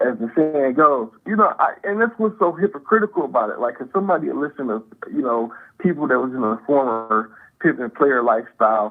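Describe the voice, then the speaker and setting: A man talks at a fairly quick pace in a fairly high pitch. His pitch swings very widely. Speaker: caller. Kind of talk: casual chat.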